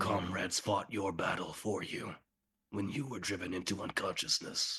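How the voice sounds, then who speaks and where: A put-on character voice from a man, raspy and at a moderate pace. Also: fairly low pitch for a man. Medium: actual play. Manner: terse, formal, questioning.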